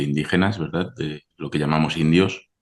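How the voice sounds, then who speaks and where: Here a man speaks with a Spanish accent at a very deep, low pitch. His pace is moderate, with ordinary pitch variation. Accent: Spanish (Spain). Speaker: historian, archaeologist. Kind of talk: interview.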